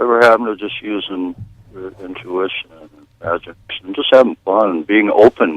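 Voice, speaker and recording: This man has a normal speaking voice, fairly low in pitch with ordinary pitch variation, moving at a moderate pace with big swings in loudness. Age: 60s. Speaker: caller. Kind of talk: radio call-in.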